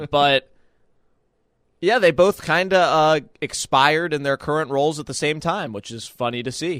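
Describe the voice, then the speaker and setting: In a very clean recording with a silent background and a dry, close sound with no echo, a man with a fairly high pitch and ordinary pitch variation speaks at a moderate pace, with long, frequent pauses and big swings in loudness. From Pittsburgh, western Pennsylvania. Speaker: radio show producer. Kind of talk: sports talk radio.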